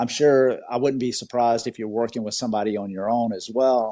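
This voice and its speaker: With a slight Southern US accent, a man speaks at a moderate pace and medium pitch in a dark, mellow tone. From Georgia, US South. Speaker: podcast host. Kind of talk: interview. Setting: online audio room. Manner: animated.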